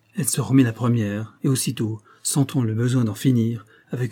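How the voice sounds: This is a natural reading voice. Its intonation stays fairly level.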